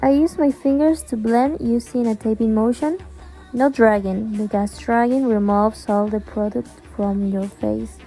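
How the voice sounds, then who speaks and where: Music plays in the background. A woman speaks over it at a moderate pace. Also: fairly high pitch for a woman, ordinary pitch variation. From Argentina. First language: Spanish. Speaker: beauty vlogger. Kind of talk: tutorial.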